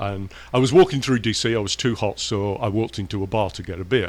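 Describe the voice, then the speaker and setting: Pitched fairly low, a man speaks with an English accent. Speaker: professor.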